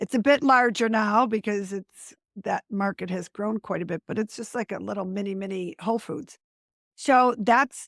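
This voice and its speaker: Her pitch varies in an ordinary way as the woman speaks at a moderate pace, with a dry, close sound, no echo, a very clean recording and a silent background. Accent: American. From US Northeast (Buffalo, New York). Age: 60s. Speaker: green living business founder. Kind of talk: podcast interview.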